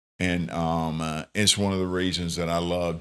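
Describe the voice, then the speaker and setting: A man with a very deep, low voice at a fairly slow pace, in a very clean recording with a silent background. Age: 60s. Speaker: charitable gift advisor. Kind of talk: podcast interview. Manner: halting, many fillers.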